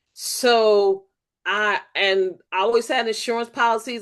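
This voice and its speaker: A woman talks at a fairly high pitch with fairly even intonation. The background is quiet. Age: 60s. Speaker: new life insurance agent. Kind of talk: casual chat.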